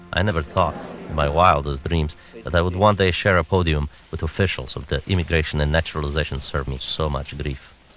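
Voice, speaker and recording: Noticeable background noise sits behind a man's very deep, low voice. He talks at a fairly quick pace with fairly even intonation. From Romania, Transylvania. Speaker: radio commentator and filmmaker. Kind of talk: documentary narration and interview.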